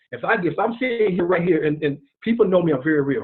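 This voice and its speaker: In an American accent, a man speaks very fast in a high pitch, animated in tone, with ordinary pitch variation. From South Carolina. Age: 40s. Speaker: retired marine and network marketer. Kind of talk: testimony.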